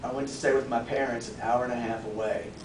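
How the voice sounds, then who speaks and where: Through audible room echo and noticeable background noise, a man's words come at a fairly quick pace. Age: 40s. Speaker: public speaking club member. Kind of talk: prepared speech.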